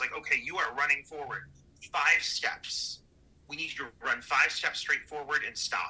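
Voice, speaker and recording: A man speaks with an American accent at a moderate pace. Noticeable background noise sits behind him. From Ohio, Cleveland. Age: 30s. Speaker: indie horror filmmaker. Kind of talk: interview.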